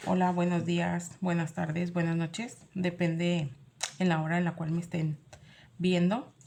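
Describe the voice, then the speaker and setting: A woman speaks fairly slowly in a fairly low, somewhat breathy voice with a dark, mellow tone. Her intonation is monotone and flat, and her loudness stays very even. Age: 40s. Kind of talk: sermon.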